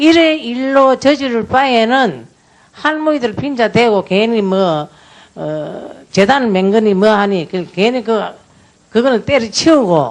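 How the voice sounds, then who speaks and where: Speaking at a very slow pace, a woman with a fairly high pitch uses lively intonation. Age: 80s+. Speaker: former comfort woman survivor testifying as a witness. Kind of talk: testimony at a parliamentary audit hearing.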